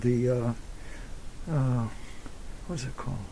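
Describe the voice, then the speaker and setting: A dark, mellow male voice, somewhat breathy. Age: 70s. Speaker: retired anthropology professor. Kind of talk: oral history interview. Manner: halting, with many fillers and repetitions.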